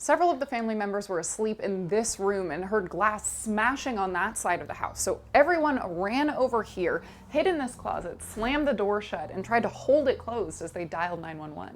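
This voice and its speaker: With hardly any pauses, a woman with an American accent speaks at a fairly high pitch and with very wide pitch swings over noticeable background noise. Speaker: TV news reporter and anchor. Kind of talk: TV news reporting and standup.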